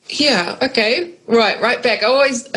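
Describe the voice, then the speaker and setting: A woman with a New Zealand accent speaks in a somewhat breathy voice. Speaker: agroecologist. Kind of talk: interview.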